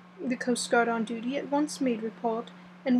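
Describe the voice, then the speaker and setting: Lively intonation from a woman at a moderate pace, against noticeable background noise. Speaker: audiobook reader. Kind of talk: reading aloud. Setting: home recording with windows open. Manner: soft-spoken. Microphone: voice may be quiet.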